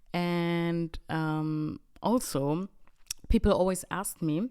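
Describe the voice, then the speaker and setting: The speaker has a German accent. The tone is animated. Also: woman. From Bavaria, Germany. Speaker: podcast host and comedy content creator. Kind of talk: casual solo podcast monologue.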